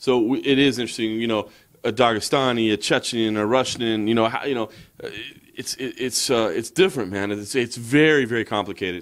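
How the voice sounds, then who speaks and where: A man with an American accent talks at a fairly quick pace. His medium pitch shows ordinary variation over a quiet background. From United States. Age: 40s. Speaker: MMA journalist. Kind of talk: casual chat. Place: home room. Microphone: handheld.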